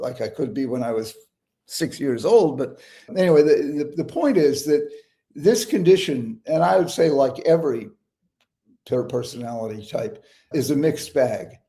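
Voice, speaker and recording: A man with a dark, mellow tone and a fairly high pitch speaks somewhat breathily with lively intonation. His pace is moderate, broken by long, frequent pauses. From New England. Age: 70s. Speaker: psychiatrist and author. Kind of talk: interview conversation. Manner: repetitive false starts.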